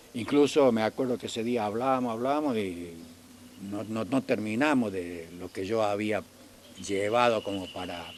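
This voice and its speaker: Speech at a fairly slow pace with ordinary pitch variation, heard over noticeable background noise. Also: man. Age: 80s+. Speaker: elderly local resident recalling town history. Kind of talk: oral history interview. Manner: halting, with many repetitions.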